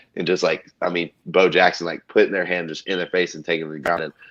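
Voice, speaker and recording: With a Texan accent, a man talks at a very fast pace in a very deep, low voice. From Texas, small town. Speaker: college football player. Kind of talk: casual interview. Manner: halting, many fillers.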